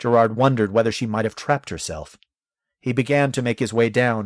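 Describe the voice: The background stays quiet. The speaker uses plain reading aloud with fairly even intonation.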